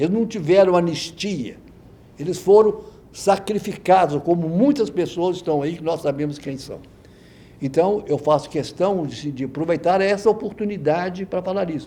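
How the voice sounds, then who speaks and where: A man's high-pitched voice, dark and mellow in tone, with ordinary pitch variation. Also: moderate pace. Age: 80s+. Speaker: veteran journalist and professor. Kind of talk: oral history interview. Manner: animated.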